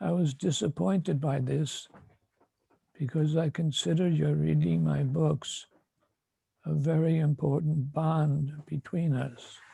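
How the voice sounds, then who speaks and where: Speaking at a fairly slow pace with long, frequent pauses, a man with a fairly high pitch and ordinary pitch variation sounds somewhat breathy, his tone dark and mellow and his loudness very even. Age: 80s+. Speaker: spiritual teacher. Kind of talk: prepared address to disciples. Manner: formal.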